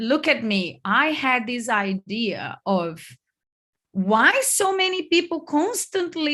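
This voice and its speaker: Her voice high and bright with a sharp tone, a woman speaks in a Brazilian accent, her pitch swinging very widely. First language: Portuguese. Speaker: online business coach. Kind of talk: online workshop. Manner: loud.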